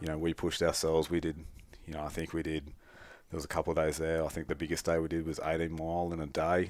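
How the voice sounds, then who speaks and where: On a very clean recording with a silent background, a man with an Australian accent talks very fast in a very deep, low, monotone, flat voice. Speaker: bowhunter. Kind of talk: casual podcast interview.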